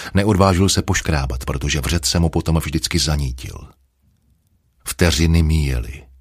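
With a very deep, low pitch and vocal fry, a man talks at a moderate pace with lively intonation. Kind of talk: audiobook reading, literary narration. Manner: measured, even storyteller pacing, dark and brooding mood.

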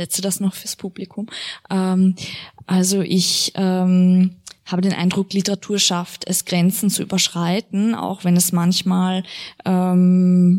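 A woman at a medium pitch, monotone and flat, at a very slow pace, in a very clean recording with a silent background. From Austria. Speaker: literary translator and interpreter, moderating a reading. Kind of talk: moderated author reading with consecutive interpreting. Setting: event venue with live audience.

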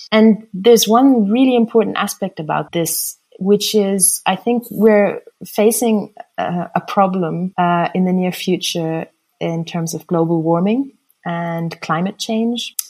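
With an American accent, a woman talks at a fairly slow pace in a medium pitch that varies in an ordinary way. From raised internationally (Switzerland, Italy, Germany, USA, Austria). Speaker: artist and architect. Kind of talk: interview.

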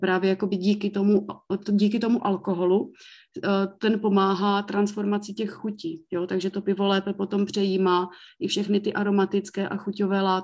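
A woman speaks at a fairly quick clip with monotone, flat intonation. The background is quiet. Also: medium pitch for a woman. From Czech Republic, South Moravia (Mikulov). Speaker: brewery owner. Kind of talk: interview.

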